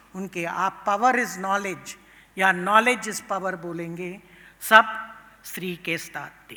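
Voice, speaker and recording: Intonation stays fairly even as a woman talks at a medium pitch. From Tamil Nadu, India. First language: Tamil (speaking Hindi). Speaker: professor of international politics. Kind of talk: conference speech. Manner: code-switching Hindi and English, with hesitations.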